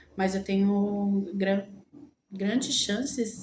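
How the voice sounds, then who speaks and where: Very slow speech with fairly even intonation and audible room echo. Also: woman. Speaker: lifestyle vlogger. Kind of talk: casual vlog talk. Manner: halting, many fillers.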